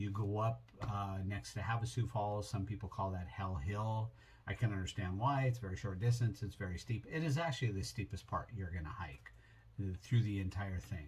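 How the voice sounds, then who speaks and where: Speech comes at a moderate tempo in a somewhat breathy voice. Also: man. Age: 60s. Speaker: travel vlogger. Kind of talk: casual trip recap. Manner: relaxed, with many fillers.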